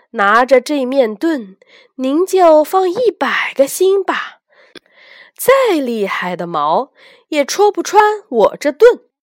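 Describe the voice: Putting on a character voice, a woman speaks slowly at a high pitch with big pitch swings.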